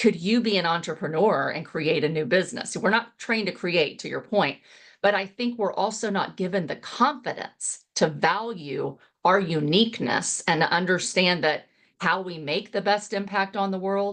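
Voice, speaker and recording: An unremarkable speaking voice from a woman with an American accent, medium in pitch with ordinary pitch variation, at a moderate pace against a quiet background. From Texas. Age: 50s. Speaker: real estate investor and coach. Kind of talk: interview conversation.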